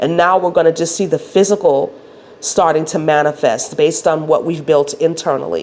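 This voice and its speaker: Her voice sits fairly low for a woman. Noticeable noise can be heard in the background. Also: fairly even intonation, moderate pace. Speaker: spiritual wellness coach. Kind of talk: spiritual talk to camera.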